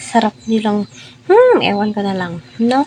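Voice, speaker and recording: Noticeable background noise runs under the recording. A woman speaks at a fairly high pitch. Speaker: showbiz commentary vlogger. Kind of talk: casual commentary monologue.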